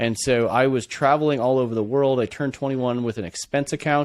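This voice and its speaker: With a Californian accent, a man speaks at a medium pitch with ordinary pitch variation. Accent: Californian American. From California, Bay Area. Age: 40s. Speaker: entrepreneur. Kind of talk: podcast interview.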